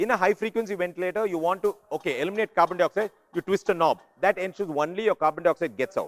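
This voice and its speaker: Loud and very fast, a man speaks at a high pitch with ordinary pitch variation in a dry, close sound with no echo. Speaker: neonatal ventilation workshop lecturer. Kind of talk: lecture. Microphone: speaking without a microphone.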